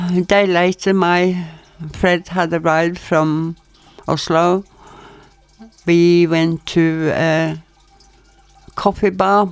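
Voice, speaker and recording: Delivery is monotone and flat. The pace is very slow. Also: woman. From Norway. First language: Norwegian. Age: 80s+. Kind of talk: storytelling, personal anecdotes.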